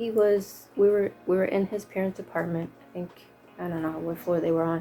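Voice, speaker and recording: A voice with an American accent moves at a fairly quick pace, with big swings in loudness. Music plays in the background. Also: woman, fairly low pitch for a woman, fairly even intonation. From California. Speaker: vlogger sharing personal testimony. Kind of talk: testimony. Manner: hesitant, many fillers.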